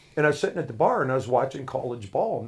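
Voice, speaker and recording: A man with an American accent talks at a very fast pace. His voice is medium in pitch and somewhat breathy. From Washington state, Brewster. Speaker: sports announcer and auto shop owner. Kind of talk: casual chat.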